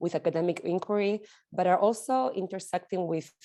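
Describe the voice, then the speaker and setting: A woman with an Argentinian accent speaks in a fairly low, dark, mellow voice. Her pitch varies in an ordinary way against a quiet background. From Argentina. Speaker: sociologist. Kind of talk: lecture.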